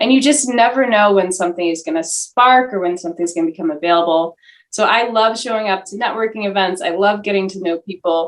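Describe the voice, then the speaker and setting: Speaking very fast with hardly any pauses, a woman with an American accent uses a medium pitch and ordinary pitch variation. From US, Washington DC. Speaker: filmmaker. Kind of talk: interview. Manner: animated.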